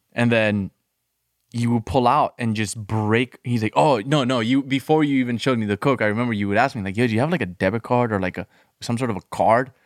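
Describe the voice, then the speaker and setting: A man with a Colombian accent talks at a very fast pace with ordinary pitch variation. The sound is dry and close, with no echo. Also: medium pitch for a man. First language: Spanish. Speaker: former addict in recovery. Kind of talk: casual chat.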